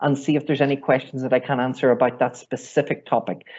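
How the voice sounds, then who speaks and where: The voice has a Northern Irish accent and moves at a fairly quick pace. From Northern Ireland. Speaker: IT trainer. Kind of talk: online workshop training. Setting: video call webinar.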